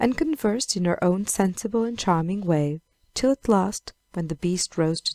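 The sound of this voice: Against a quiet background, an unforced reading voice with ordinary pitch variation.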